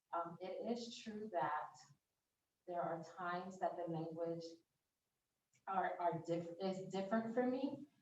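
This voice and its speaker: A woman's fairly low voice at a fairly slow pace, ordinary pitch variation and audible room echo. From United States. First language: French. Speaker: invited language expert. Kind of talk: interview answers.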